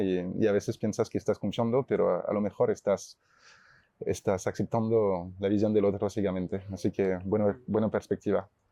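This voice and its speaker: With a fairly low pitch and fairly even intonation, a man talks at a moderate pace. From France, Chamonix (Alps). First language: French (speaking Spanish). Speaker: startup CEO. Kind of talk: panel discussion.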